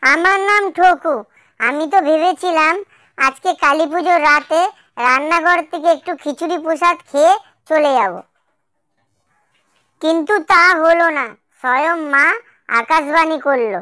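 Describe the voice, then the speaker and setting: A cartoonish character voice at a high pitch goes at a fairly slow pace. The recording is very clean, with a silent background. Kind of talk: cartoon comedy voice. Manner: excitable, chatty.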